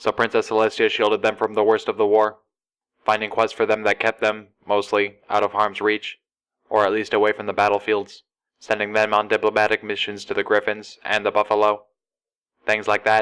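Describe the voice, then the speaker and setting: Using a put-on, robotic character voice, a man talks at a fairly quick pace with a fairly low pitch. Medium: read story. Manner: casual.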